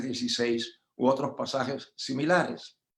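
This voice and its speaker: Ordinary pitch variation marks this very slowly delivered speech. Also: man. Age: 80s+. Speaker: pastor. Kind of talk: lecture.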